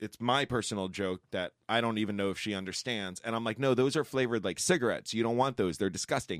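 With an American accent, a man speaks at a very fast pace and medium pitch, hardly any pauses, ordinary pitch variation, and a dry, close sound with no echo. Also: very clean recording, silent background. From New York. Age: 40s. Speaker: sports podcast host. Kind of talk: casual chat.

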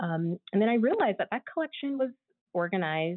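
Speaking at a very fast pace, a woman with an American accent uses lively intonation. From US West Coast, San Diego, California. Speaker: university archivist. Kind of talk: interview. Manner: halting, many fillers and restarts.

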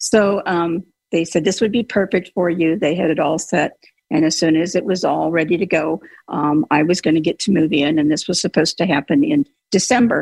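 Heard in a dry, close sound with no echo, a woman speaks in an unremarkable speaking voice, fairly low in pitch, with ordinary pitch variation and very even loudness. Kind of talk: casual chat. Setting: video call.

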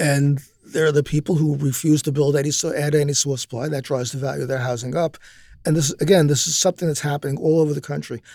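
Speaking at a very fast pace, a man with a fairly high pitch and a dark, mellow tone uses ordinary pitch variation on a very clean recording with a silent background. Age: 60s. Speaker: political commentator. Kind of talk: panel discussion. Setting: studio.

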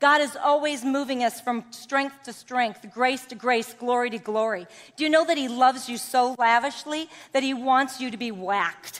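Speaking at a moderate pace, a woman uses an animated tone and a high pitch. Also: ordinary pitch variation, big swings in loudness. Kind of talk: sermon. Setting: stage with audience.

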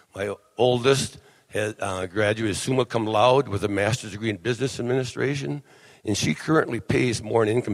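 Delivered at a fairly quick pace, this is a normal speaking voice with an American accent and ordinary pitch variation. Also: man. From Wisconsin. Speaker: blind vendor association officer. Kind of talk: convention speech.

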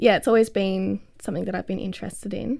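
On a very clean recording with a silent background, a woman with an Australian accent speaks at a medium pitch with fairly even intonation. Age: 20s. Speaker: botanist, PhD researcher. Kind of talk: casual interview.

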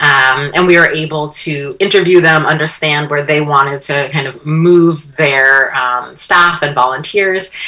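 A woman with a very deep, low pitch speaks at a fairly slow pace over noticeable background noise. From upstate New York. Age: 40s. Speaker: social designer and educator. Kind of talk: radio interview.

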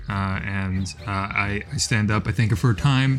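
Noticeable background noise accompanies a man whose pitch varies in an ordinary way. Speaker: tabletop game player.

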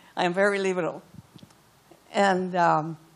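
A woman with a Cuban accent speaks at a medium pitch and a moderate pace. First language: Spanish. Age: 80s+. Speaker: audience member. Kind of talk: audience question. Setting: stage with audience.

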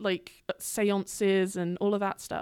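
A woman with a British accent, dry and close with no echo, in a very clean recording with a silent background. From England. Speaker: graduate student. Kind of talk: casual chat, storytelling.

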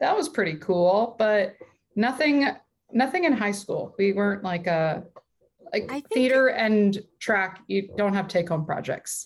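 At a fairly slow pace, a woman with an American accent speaks in a plain, everyday voice of medium pitch. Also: lively intonation. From US West Coast (southern California). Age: 30s. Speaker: stand-up comedian. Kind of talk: casual chat.

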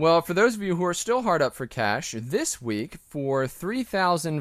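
A man with a high pitch speaks at a moderate pace, his pitch swinging very widely. The recording is very clean, with a silent background, and the sound is dry and close with no echo. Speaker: podcast co-host. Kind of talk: casual banter podcast.

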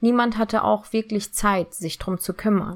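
Her medium pitch paired with a moderate pace, a woman speaks. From Germany, partly raised in Turkey. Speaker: podcaster sharing eating disorder experience. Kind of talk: personal monologue.

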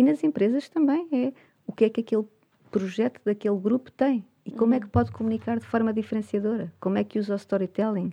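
Her voice is fairly high and somewhat breathy, with ordinary pitch variation. The woman talks at a very fast pace. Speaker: communication coach. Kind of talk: interview.

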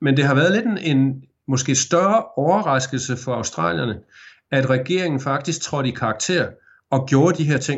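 A man's somewhat breathy, fairly high voice with lively intonation at a moderate pace. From Denmark, Aarhus. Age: 50s. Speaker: journalist, former radio presenter. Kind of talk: interview.

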